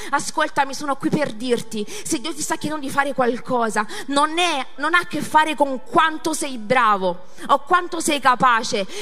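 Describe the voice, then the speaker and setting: A woman's raised, projected voice at a high pitch, animated in tone with lively intonation, at a moderate pace amid audible room echo and noticeable background noise. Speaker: pastor. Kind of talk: sermon.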